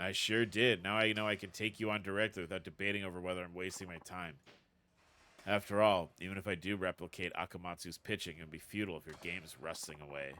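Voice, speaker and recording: A man puts on a raspy character voice, very deep and low, at a very fast pace. The intonation is fairly even, and the recording is very clean with a silent background. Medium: game stream. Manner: calm, confident.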